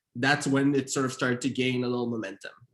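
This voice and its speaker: A man speaks at medium pitch. His pace is very fast. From Montreal, Canada. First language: Haitian Creole. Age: 30s. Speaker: author and screenwriter. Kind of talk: author interview. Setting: virtual event.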